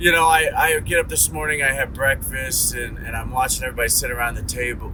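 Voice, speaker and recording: Amid audible room echo and noticeable background noise, a man keeps a moderate pace. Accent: American. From Ohio. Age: 40s. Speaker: vlogger. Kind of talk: casual monologue. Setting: in a car.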